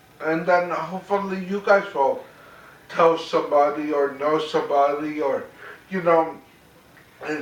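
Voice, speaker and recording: A man speaks at a fairly slow pace with ordinary pitch variation. Audible room echo and noticeable background noise fill the recording. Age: 30s. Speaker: theater director and actor. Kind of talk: talk to audience. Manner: articulate; repetitive, halting restarts.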